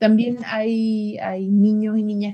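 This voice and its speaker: The woman's voice has a dark, mellow tone and is somewhat breathy. She speaks at a fairly slow pace. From Chile. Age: 30s. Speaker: LGBT rights advocate. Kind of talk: interview.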